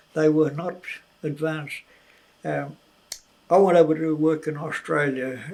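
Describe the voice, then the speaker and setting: A man with a New Zealand accent talks at a moderate pace. His intonation is fairly even. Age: 80s+. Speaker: former miner, farmer and aviator. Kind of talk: interview answer. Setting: at home.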